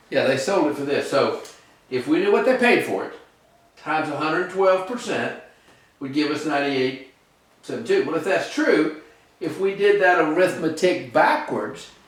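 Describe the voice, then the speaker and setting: The pitch swings very widely, and long pauses come often. Room echo is audible throughout. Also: man, high pitch for a man, moderate pace. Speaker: real estate instructor. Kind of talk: tutorial.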